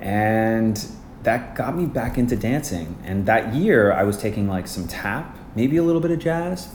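Audible room echo surrounds a fairly slow speaker with a Canadian Prairies accent whose pitch swings very widely. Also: man, medium pitch for a man. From Canada, Winnipeg. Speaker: Broadway ensemble dancer and actor. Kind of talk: casual interview.

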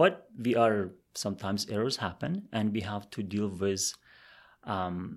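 A man talks with fairly even intonation and a fairly low pitch, the recording very clean and the background silent. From outside Canada, immigrant. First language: not English. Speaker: career advisor. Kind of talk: interview.

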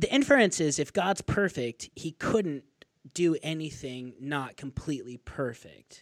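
A man with an American accent, fairly high pitch and lively intonation at a fairly slow pace, on a very clean recording with a silent background and a dry, close sound with no echo. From US West (northern Arizona). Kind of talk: casual interview discussion.

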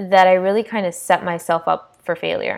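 The recording is very clean, with a silent background. The speaker has an American accent and talks at a moderate pace. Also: woman. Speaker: podcast host, personal trainer. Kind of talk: casual monologue. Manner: animated.

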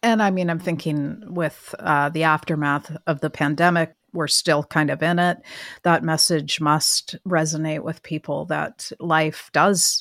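A woman with a Canadian accent speaks at a fairly slow pace in a very deep, low voice with fairly even intonation, recorded very cleanly against a silent background with a dry, close sound and no echo. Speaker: magazine podcast host. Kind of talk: interview.

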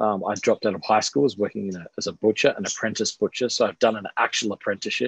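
A man with an Australian accent speaks at a very fast pace with hardly any pauses. The background is quiet and the sound is dry and close with no echo. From Australia, Adelaide. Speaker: pastor and author. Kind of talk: casual interview.

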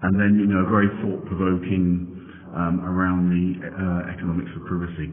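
In a room with audible echo, a man talks at a fairly slow pace in a very deep, low voice. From Denmark. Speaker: privacy trainer and consultant. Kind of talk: interview. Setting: conference venue.

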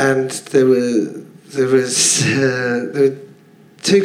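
A man with a London accent and a medium pitch, with audible room echo and noticeable background noise. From London, Finsbury Park. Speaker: comedian. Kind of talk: casual chat. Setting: stage with audience.

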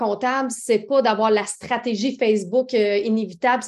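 Speaking at a moderate pace, a woman has a fairly high pitch, ordinary pitch variation, and an unremarkable speaking voice. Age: 30s. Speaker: entrepreneur, makeup company founder. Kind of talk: interview.

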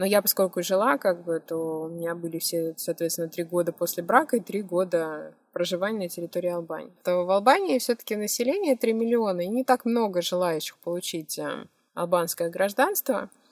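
A plain, everyday voice at a moderate pace with ordinary pitch variation, dry and close with no echo. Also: woman, fairly low pitch for a woman. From Russia, Moscow. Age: 30s. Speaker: blogger and photographer. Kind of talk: interview.

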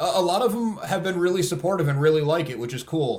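A man with an American accent speaks at a fairly quick pace. His voice is somewhat breathy, with ordinary pitch variation. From upstate New York near Albany. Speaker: comic book co-creator. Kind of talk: casual interview chat. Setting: video call, remote guest.

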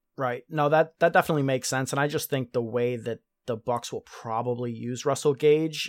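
Here a man speaks at medium pitch with a plain, everyday voice and fairly even intonation. His pace is fairly quick, on a very clean recording with a silent background. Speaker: podcast host. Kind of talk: casual interview.

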